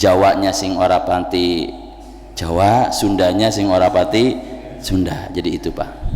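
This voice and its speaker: A man with a very deep, low pitch is heard with audible room echo and noticeable background noise. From West Java (Tasikmalaya, Sundanese). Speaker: Islamic preacher. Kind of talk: sermon. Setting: mosque.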